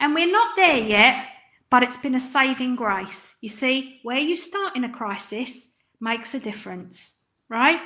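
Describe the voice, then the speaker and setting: A woman with an English accent speaks at a high pitch and a fairly slow pace. Her tone is bright and sharp, with ordinary pitch variation. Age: 50s. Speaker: business coach. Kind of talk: webinar presentation. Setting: online webinar. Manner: animated.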